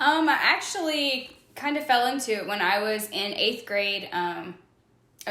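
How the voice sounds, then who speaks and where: A woman speaks with an American accent and ordinary pitch variation. Noticeable background noise and audible room echo fill the recording. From US South, Louisiana (Lafayette, Cajun country). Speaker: physical therapist. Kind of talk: interview.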